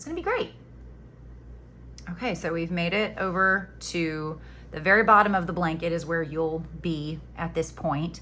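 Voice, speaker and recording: With an American accent, a woman speaks at a moderate pace and a fairly low pitch, her fairly even intonation paired with big swings in loudness, long, frequent pauses and audible room echo. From Florida Panhandle, US South. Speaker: crochet teacher. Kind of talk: tutorial. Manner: casual, chatty.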